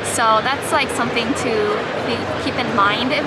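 Over music in the background, a woman speaks at a fairly quick pace, the sound dry with no echo. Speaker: convention artist vendor. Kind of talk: casual vlog chat. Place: hall. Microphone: phone near.

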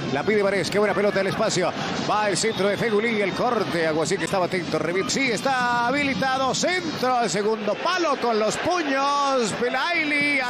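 A man with a high voice keeps his loudness very even over noticeable background noise. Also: lively intonation, moderate pace. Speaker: sports commentator. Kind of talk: live sports commentary. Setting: broadcast of a TV match.

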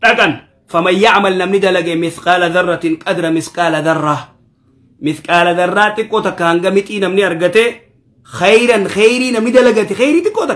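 In an Ethiopian accent, a man talks at a very fast pace with a high pitch. His pitch variation is ordinary, over a quiet background. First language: Oromo (speaking Arabic). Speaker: Islamic preacher. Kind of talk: Quran commentary lesson. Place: office.

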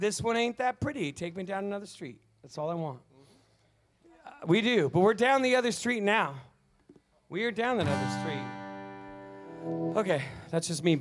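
A man at a moderate pace, with big swings in loudness, long, frequent pauses and clear music in the background. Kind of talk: stage banter story. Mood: wry, joking. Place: stage. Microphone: studio mic.

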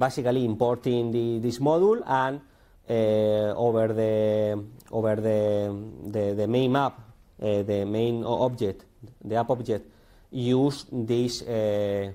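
In a Spanish accent, a dark, mellow tone moves at a very slow pace with fairly even intonation. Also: man, quiet background. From Spain. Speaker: conference speaker. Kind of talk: technical talk. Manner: halting, many fillers and repetitions. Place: classroom.

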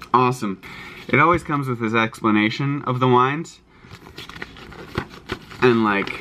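Ordinary pitch movement from a male speaker, faint noise in the background. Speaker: vlogger. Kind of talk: casual vlog chat. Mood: cheerful, excited. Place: home room. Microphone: phone near.

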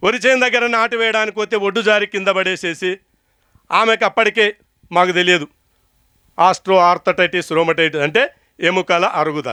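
In a Telangana accent, a man projects a raised voice at a high pitch with a bright, sharp tone, ordinary pitch variation and very even loudness, the sound dry and close with no echo on a very clean recording with a silent background. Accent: Telangana Telugu. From Telangana, Mahabubnagar district. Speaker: natural farmer. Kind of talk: speech to farmers' gathering. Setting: stage with audience.

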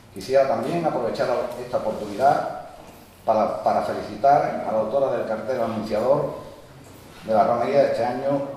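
The speech comes at a fairly quick pace. Strong room echo surrounds it, with light background noise underneath. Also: man. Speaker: local councillor giving a speech. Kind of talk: formal speech. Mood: solemn, festive. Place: church. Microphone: podium.

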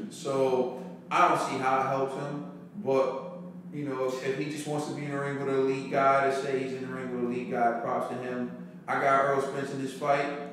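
Strong room echo and light background noise surround a man speaking in a monotone, flat intonation. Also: moderate pace. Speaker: podcast co-host. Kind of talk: casual podcast discussion. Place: home room.

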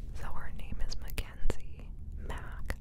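A woman is whispering. Noticeable background noise surrounds her. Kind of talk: whispered book reading wrap-up, casual talk to camera. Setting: single microphone, ASMR recording. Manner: whispered, relaxing.

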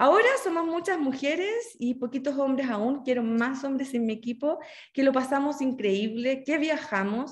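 Lively intonation marks this moderate-paced delivery. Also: woman. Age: 40s. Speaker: journalist and network marketer. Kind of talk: online training presentation. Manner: enthusiastic.

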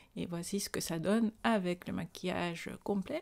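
A woman speaks fairly slowly at a medium pitch with ordinary pitch variation. The background is quiet. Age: 40s. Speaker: beauty vlogger. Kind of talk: tutorial. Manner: casual. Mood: calm, pleased.

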